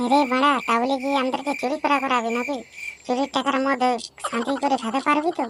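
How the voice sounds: A cartoonish character voice, high-pitched and monotone with flat intonation, at a moderate pace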